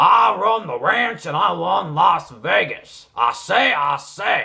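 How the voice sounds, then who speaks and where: A man puts on a cartoonish character voice. His pitch sits fairly high. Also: fairly slow pace. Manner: blustery, emphatic.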